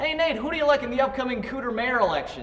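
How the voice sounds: A put-on character voice, fast and fairly bright, with big pitch swings over faint background noise. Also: man, extremely high pitch for a man.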